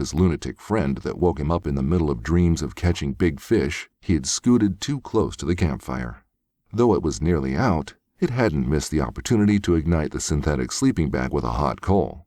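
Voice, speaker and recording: A man with a very deep, low pitch speaks in a dark, mellow tone with vocal fry and lively intonation at a moderate pace. The recording is very clean, with a silent background. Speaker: voice actor. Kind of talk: audiobook narration. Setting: home studio.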